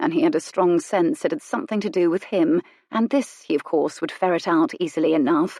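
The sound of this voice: The speaker uses an unforced reading voice.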